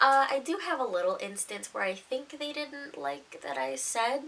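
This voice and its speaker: The voice makes very wide pitch swings at a moderate pace. Noticeable background noise is present. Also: woman. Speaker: storytime youtuber. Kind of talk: casual storytelling. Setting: at home, mom sleeping next door. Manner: quieter than usual; naturally loud.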